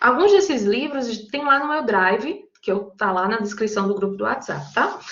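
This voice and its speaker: Against audible room echo, a woman with a strong Paraíba accent speaks with lively intonation. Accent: strong Paraíba northeastern Brazilian. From Brazil, Paraíba (João Pessoa). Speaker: psychologist and teacher leading study group. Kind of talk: online lecture to study group. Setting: online video meeting. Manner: conversational, informal.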